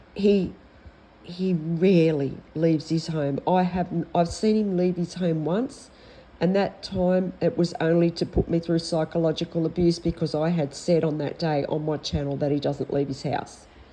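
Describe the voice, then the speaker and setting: Dark, mellow tone from a woman with an Australian accent, fairly slow with fairly even intonation. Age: 60s. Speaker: vlogger. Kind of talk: personal complaint vlog. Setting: at home. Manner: halting.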